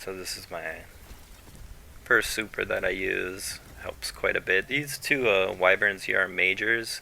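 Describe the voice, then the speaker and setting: This man speaks at a fairly slow pace with long, frequent pauses. His loudness swings widely. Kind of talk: gameplay commentary. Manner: monotone.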